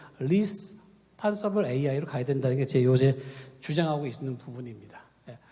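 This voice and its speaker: A man's dark, mellow tone with lively intonation and audible room echo. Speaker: ethics professor. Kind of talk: conference talk. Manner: halting, many fillers; fast.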